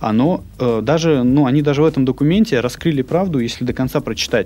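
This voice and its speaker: An unremarkable speaking voice from a man, fairly high in pitch with lively intonation. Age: young. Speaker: entrepreneur. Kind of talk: casual interview. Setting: studio.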